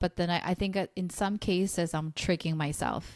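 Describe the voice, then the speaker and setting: The voice has a Korean accent and fairly even intonation, recorded with a dry, close sound with no echo. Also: woman, very clean recording, silent background. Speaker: podcast host. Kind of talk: podcast interview. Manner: casual, hesitant with fillers.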